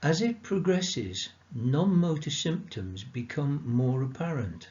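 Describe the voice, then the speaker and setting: A man speaks at a fairly slow pace in a somewhat breathy voice. His pitch swings very widely. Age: 70s. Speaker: support group chair. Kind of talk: prepared talk. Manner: formal.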